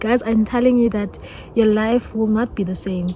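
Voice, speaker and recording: A woman with a South African accent talks at a moderate pace and a fairly high pitch. Her intonation is fairly even, and there is noticeable background noise. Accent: South African (Zulu-speaking). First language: Zulu. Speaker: YouTuber. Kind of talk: testimony. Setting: outdoors.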